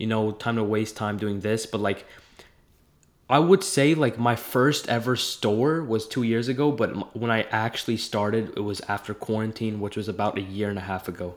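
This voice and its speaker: At a moderate pace and with ordinary pitch variation, the speaker has a plain, everyday voice. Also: man, medium pitch for a man. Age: young. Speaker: entrepreneur. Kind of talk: casual chat.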